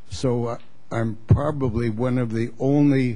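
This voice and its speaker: With audible room echo, a man talks at a fairly slow pace in a dark, mellow, somewhat breathy voice. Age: 80s+. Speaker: retired shipwright. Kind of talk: public comment.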